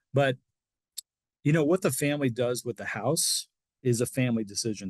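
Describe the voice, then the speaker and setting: Against a quiet background, a man with a somewhat breathy, medium-pitched voice is heard in a dry, close sound with no echo. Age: 60s. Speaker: reverse mortgage specialist. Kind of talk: interview. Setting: podcast.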